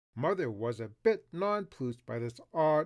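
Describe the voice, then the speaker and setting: His intonation is lively as a man with a fairly high pitch speaks in a normal speaking voice. He keeps to a moderate pace. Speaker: voice actor. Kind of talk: audiobook narration.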